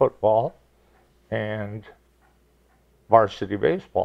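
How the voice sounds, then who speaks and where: The speaker talks at a very slow pace. The accent is American. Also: man. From Michigan (Detroit area). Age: 70s. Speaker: retired teacher and basketball coach. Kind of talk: interview.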